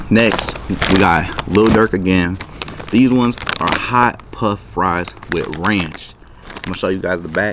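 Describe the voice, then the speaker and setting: With a very deep, low pitch and ordinary pitch variation, a man speaks at a fairly slow pace in a dry sound with no echo, while noticeable background noise runs underneath. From US Midwest, Milwaukee. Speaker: YouTuber. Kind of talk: product review vlog. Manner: casual, energetic. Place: garden. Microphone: phone near.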